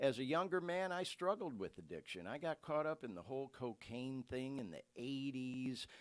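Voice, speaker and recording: A man talks at a medium pitch with hardly any pauses. His pitch swings very widely. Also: moderate pace. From US Midwest, Metro Detroit. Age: 60s. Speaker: podcast host. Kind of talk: casual monologue, live podcast. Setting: live stream.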